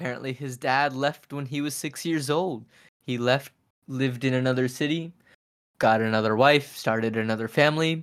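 A plain, everyday voice with fairly even intonation on a very clean recording with a silent background. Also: man, medium pitch for a man, moderate pace. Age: 20s. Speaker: podcast host, actor and singer-songwriter. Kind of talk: casual chat.

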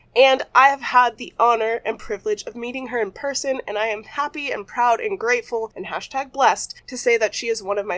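A woman talks at a moderate pace in a high voice with ordinary pitch variation. Noticeable background noise is present. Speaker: podcast host and ER worker. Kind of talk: show intro and outro.

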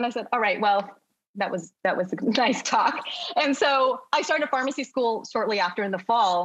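Using an ordinary speaking voice, a woman with an American accent talks at a moderate pace with lively intonation. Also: fairly high pitch for a woman. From United States, family from China and Hong Kong. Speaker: pharmacist. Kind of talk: podcast interview.

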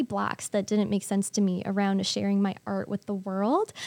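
In an American accent, a woman talks at a moderate pace with an ordinary speaking voice. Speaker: artist. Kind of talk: casual chat.

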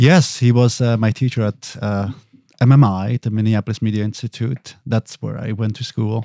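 A man's medium-pitched voice in a Swiss accent, dark, mellow tone, moderate pace and fairly even intonation, in a dry, close sound with no echo and a very clean recording with a silent background. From Switzerland (Basel). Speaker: podcast producer and audio engineer. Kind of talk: casual chat. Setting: studio.

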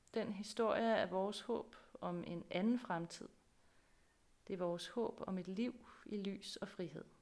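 Very slowly and with long, frequent pauses, a woman speaks at a medium pitch with fairly even intonation. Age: 40s. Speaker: pastor. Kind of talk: sermon.

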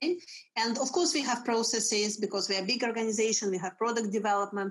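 A woman's fairly high voice with a Russian accent. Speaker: HR executive. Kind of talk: interview. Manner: energetic.

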